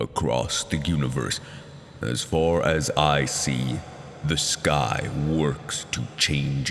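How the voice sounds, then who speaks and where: A man uses a put-on character voice, booming with a very deep, low pitch at a very slow pace. Background noise is clearly audible. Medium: read story. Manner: solemn, prophetic.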